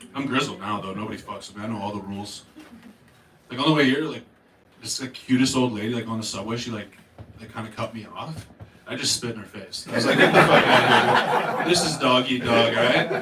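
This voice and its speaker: Speaking very fast with a Canadian accent, a man at a medium pitch shows big swings in loudness amid noticeable background noise and audible room echo. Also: ordinary pitch variation. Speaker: stand-up comedian. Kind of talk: stand-up. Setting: stage with audience.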